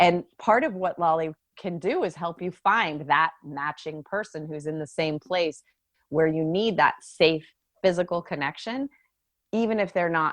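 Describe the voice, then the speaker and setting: A woman with an American accent and a very deep, low pitch, at a fairly slow pace with ordinary pitch variation against a quiet background. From US, San Francisco Bay Area. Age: 50s. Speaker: dating app CEO. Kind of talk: podcast interview. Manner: animated.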